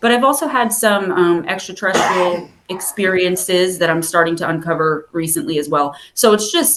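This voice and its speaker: A woman speaks in a New Jersey accent with lively intonation and a medium pitch. She keeps a moderate pace with hardly any pauses. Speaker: spiritual advisor and author. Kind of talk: interview. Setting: video call.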